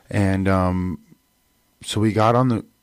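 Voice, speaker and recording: The sound is dry and close with no echo. A man talks with fairly even intonation in an unremarkable speaking voice. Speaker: radio DJ and guest. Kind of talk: radio interview. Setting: radio studio.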